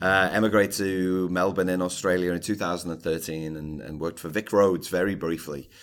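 Here a man speaks with a Scouse accent and a very deep, low pitch. His pace is fairly quick, with hardly any pauses and fairly even intonation. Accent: Scouse (Liverpool) English. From Liverpool, England. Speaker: author and speaker on workplace culture. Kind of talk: interview.

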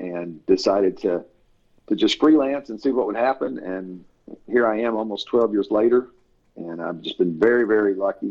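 Here a man speaks in a Tennessee accent. His pitch is fairly low, with ordinary variation. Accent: Southern US (Tennessee). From US South, Tennessee. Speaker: author and editor. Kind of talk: casual interview.

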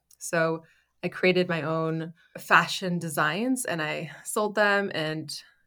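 A woman's fairly low-pitched voice, a normal speaking voice with fairly even intonation, on a very clean recording with a silent background. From Canada. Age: 30s. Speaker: entrepreneur, founder of a styling business. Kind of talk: interview conversation.

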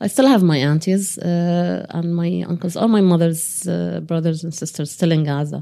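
The speaker has an Arabic accent and talks at a moderate pace with ordinary pitch variation and hardly any pauses. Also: woman, fairly low pitch for a woman. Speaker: activist, solidarity committee chair. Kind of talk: interview. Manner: hesitant, many fillers.

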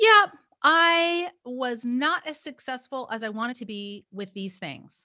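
In a very clean recording with a silent background, a woman projects a raised, high-pitched voice with a bright, sharp tone and lively intonation. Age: 50s. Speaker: clinician and health coach. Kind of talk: podcast interview.

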